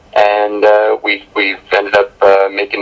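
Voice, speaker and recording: This voice comes with a Canadian accent over noticeable background noise. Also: man. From Canada, Ontario (Burlington area). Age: 20s. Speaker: country singer. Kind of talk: interview. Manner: halting, many fillers.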